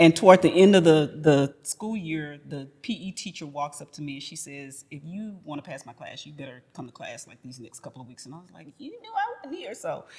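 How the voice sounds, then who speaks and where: Talking at a fairly quick pace with hardly any pauses, a woman with an American accent has an unremarkable speaking voice, fairly low in pitch, with lively intonation and big swings in loudness. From Houston, Texas. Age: 50s. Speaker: educator and school founder. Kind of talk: interview conversation.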